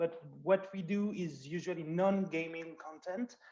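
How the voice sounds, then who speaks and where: A man speaks with a French accent. His pitch is high. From France. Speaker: producer. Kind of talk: panel discussion.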